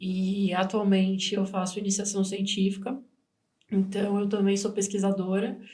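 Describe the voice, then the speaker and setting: A woman speaks fairly slowly at a medium pitch, somewhat breathy, with monotone, flat intonation and very even loudness. There is audible room echo. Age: 20s. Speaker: nutrition student and podcast co-host. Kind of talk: casual podcast conversation.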